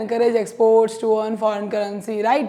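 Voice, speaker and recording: A woman speaks with audible room echo. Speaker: economics teacher. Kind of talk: lecture.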